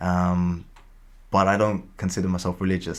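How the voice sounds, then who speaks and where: A man at a moderate pace with a very deep, low pitch, on a very clean recording with a silent background. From East London. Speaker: rapper and music producer. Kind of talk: podcast interview. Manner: halting, many fillers and repeats.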